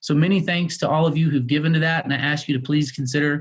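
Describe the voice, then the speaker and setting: Somewhat breathy and fairly high-pitched, a man speaks at a very fast pace in a monotone, flat intonation. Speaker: healthcare executive. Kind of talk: presentation with slides.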